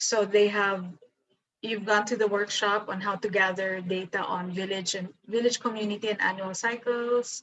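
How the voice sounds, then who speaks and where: With a Filipino accent, a woman speaks at a moderate pace and medium pitch. Her intonation is monotone and flat. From Philippines. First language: Tagalog. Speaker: professor. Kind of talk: lecture. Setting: video call.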